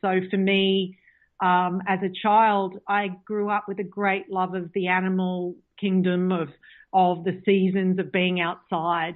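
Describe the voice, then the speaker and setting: An Australian accent marks this woman's medium-pitched voice, delivered at a fairly slow pace. Her intonation is monotone and flat. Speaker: author and pagan practitioner. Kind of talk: interview. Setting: phone call.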